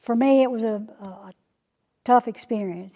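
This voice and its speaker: A woman with a dark, mellow tone talks at a moderate pace with fairly even intonation. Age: 70s. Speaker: church member sharing testimony. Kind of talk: testimony. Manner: halting.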